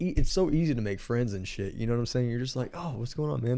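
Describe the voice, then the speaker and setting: A man with a Texan accent talks at a very fast pace. His pitch is medium. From Texas (Marion, near San Antonio). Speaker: podcast host. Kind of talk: casual chat. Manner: animated.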